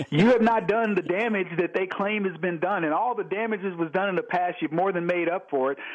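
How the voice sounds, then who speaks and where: A man with an American accent talks at a fairly quick pace in a high voice with ordinary pitch variation. Noticeable background noise runs behind him. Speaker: radio host and author. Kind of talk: radio interview. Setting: phone call.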